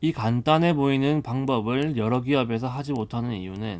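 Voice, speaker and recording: A man speaks at a moderate pace with medium pitch and ordinary pitch variation. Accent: Busan. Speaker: audiobook narrator. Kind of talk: audiobook reading. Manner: soft-spoken.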